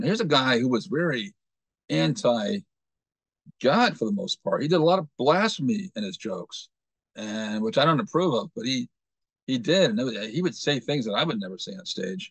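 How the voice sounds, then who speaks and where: Over a dry, close sound with no echo, a man with a fairly high pitch speaks at a moderate pace, using very wide pitch swings and vocal fry. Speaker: motivational show host. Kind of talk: casual talk to camera.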